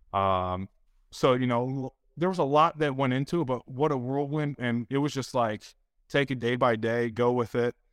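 An ordinary speaking voice, this man's medium pitch shows ordinary variation at a moderate pace, captured dry and close with no echo in a very clean recording with a silent background. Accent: American. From Detroit area, Michigan. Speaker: former NFL player. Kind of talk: casual chat.

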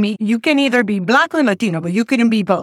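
In a Panamanian accent, a woman speaks at a fairly high pitch, the sound dry and close with no echo. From Panama, Panama City. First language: Spanish. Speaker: community health program leader. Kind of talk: interview.

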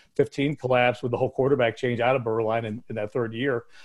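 A man talks at a fairly quick pace with fairly even intonation. He has a plain, everyday voice. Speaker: former radio announcer. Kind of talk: casual interview chat.

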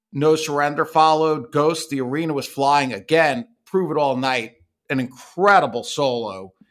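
A man with a fairly high pitch and a normal speaking voice talks at a moderate pace with ordinary pitch variation. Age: 50s. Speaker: podcast co-host. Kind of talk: casual chat.

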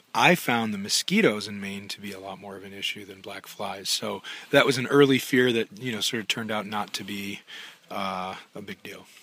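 A man with an American accent, fairly low pitch and a bright, sharp tone, fairly even intonation at a moderate pace, and big swings in loudness. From Minnesota. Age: 50s. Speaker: long-distance hiker. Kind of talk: interview.

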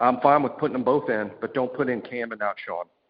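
A man speaks at a medium pitch with ordinary pitch variation and a Southern US accent. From Alabama. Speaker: sports podcast co-host. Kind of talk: casual chat.

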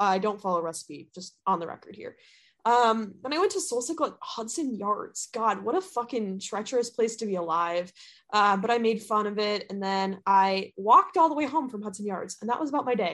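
An unremarkable speaking voice from a woman with an American accent, fairly high in pitch, fairly quick, with lively intonation over a quiet background. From US Midwest. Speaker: podcast host. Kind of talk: casual chat.

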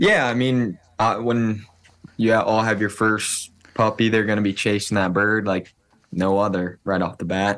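In an unremarkable speaking voice, a man with an American accent talks at a moderate pace and fairly low pitch, with fairly even intonation and very even loudness. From Iowa. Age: 20s. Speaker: bird dog trialer and hunter. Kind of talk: podcast interview.

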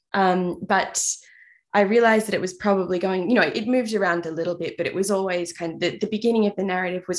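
A woman with a medium pitch and fairly even intonation speaks over a quiet background. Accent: Australian. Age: 30s. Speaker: novelist. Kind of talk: interview.

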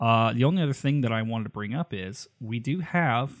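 Moderately paced, this man's speech has medium pitch and ordinary pitch variation. He has an unremarkable speaking voice. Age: 30s. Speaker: podcast co-host and bagpiper. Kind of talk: casual chat. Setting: video call.

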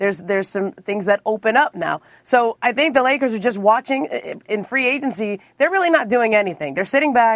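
A woman talks at a fairly quick pace with lively intonation and fairly high pitch. It is a plain, everyday voice. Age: 40s. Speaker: NBA reporter. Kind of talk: casual chat.

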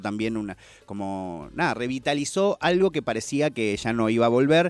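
This man has an ordinary speaking voice, a medium pitch and a moderate pace. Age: 30s. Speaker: hip hop culture commentator. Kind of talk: casual chat.

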